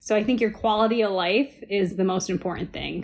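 A woman with an American accent and a plain, everyday voice speaks at a moderate pace with fairly even intonation, on a very clean recording with a silent background. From Ohio, US Midwest. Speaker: surgical resident. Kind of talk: interview.

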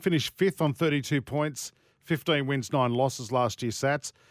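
On a very clean recording with a silent background and a dry, close sound with no echo, a man speaks at a fairly high pitch with an Australian accent. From Sydney, Australia. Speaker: sports radio host. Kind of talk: casual chat; scripted ad read.

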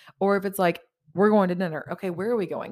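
With an American accent, a woman speaks in a plain, everyday voice with ordinary pitch variation. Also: very clean recording, silent background. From Southeast Texas (Orange, near Louisiana border). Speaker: podcaster. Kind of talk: casual solo monologue. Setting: home recording, solo. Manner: talkative, casual with many filler ums.

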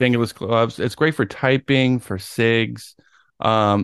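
The speaker reads aloud. It is plain reading.

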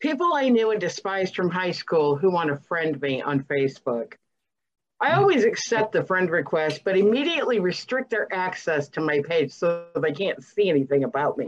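A woman speaks with an American accent at a medium pitch. Her pitch swings very widely. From US South, Alabama. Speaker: podcast guest. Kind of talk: casual chat.

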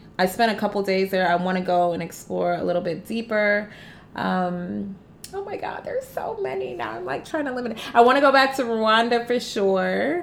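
A woman's medium-pitched voice with an American accent, lively intonation and a moderate pace over noticeable background noise. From US Midwest, Detroit. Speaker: travel entrepreneur. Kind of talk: interview.

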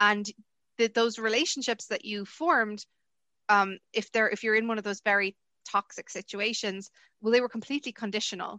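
Speaking at a fairly quick pace in a Munster accent, a woman has a bright, sharp tone and fairly high pitch, recorded against a quiet background with a dry, close sound and no echo. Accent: southern Irish (Munster). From Ireland. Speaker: university lecturer and researcher. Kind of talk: interview. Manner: hesitant, many fillers.

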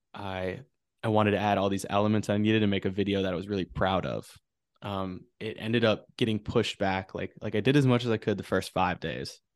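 An ordinary speaking voice at a fairly quick pace, with fairly even intonation and a quiet background. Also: man, fairly low pitch for a man. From Wisconsin, Wausau. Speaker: photographer. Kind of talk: casual chat. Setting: video call.

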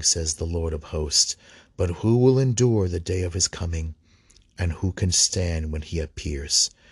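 In a solemn tone, a man with a very deep, low pitch speaks at a fairly slow pace, somewhat breathy, with ordinary pitch variation and a dry, close sound with no echo. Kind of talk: liturgical scripture reading aloud from missal and Bible, with prayers. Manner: halting, stumbling over words, with fillers; measured, solemn, formal reading cadence.

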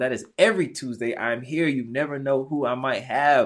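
Against a quiet background, a man speaks in an animated tone at a moderate pace and medium pitch with ordinary pitch variation. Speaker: podcast host. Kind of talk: casual interview.

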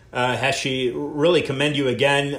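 This man speaks very slowly, his pitch fairly high. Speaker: radio host. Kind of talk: interview, casual talk show.

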